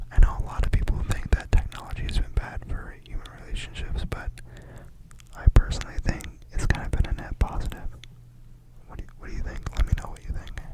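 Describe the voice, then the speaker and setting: A woman whispers at a very fast pace, broken by long, frequent pauses. Her loudness swings widely, and there is noticeable background noise. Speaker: ASMR creator. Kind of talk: casual talk to camera, opinion discussion. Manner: conversational, casual, thoughtful.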